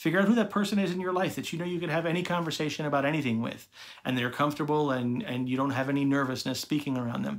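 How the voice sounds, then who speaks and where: Speaking at a very fast pace, a man uses lively intonation. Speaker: social media manager. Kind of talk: video tutorial to camera. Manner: fast talker. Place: home room. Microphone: phone near.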